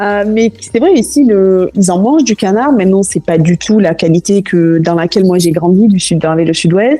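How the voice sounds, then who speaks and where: Using a plain, everyday voice, a woman of medium pitch talks at a moderate pace with lively intonation, very even loudness and hardly any pauses. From southwest France, Toulouse. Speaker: cooking school founder. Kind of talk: podcast interview.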